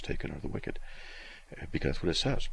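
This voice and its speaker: The voice carries vocal fry. Audible room echo fills the recording. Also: man. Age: 60s. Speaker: radio host. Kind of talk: call-in radio Q&A. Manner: halting, many fillers.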